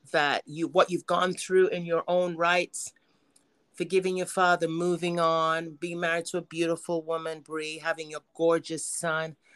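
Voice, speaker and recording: A woman speaks in a normal speaking voice at a fairly low pitch and moderate pace, with fairly even intonation and a dry, close sound with no echo. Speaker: podcast host. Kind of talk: casual interview chat. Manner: warm, affectionate.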